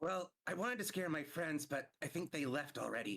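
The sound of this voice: In a put-on character voice, a man sounds raspy and fairly high-pitched, keeping a moderate pace.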